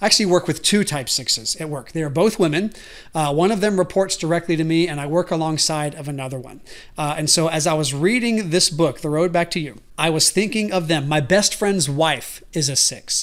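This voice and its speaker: Fairly quick speech in an American accent on a very clean recording with a silent background. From US South. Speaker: podcast host. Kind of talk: casual chat. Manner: loud.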